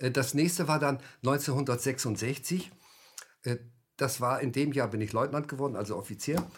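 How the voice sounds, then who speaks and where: Somewhat breathy and fairly high-pitched, a man speaks with long, frequent pauses. The recording is very clean against a silent background. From Germany. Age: 70s. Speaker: author and former army officer. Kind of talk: interview. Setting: studio. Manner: halting.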